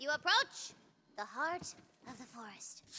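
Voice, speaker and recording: At a moderate pace, a woman puts on a character voice pitched high. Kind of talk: dramatic fantasy narration. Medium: video game.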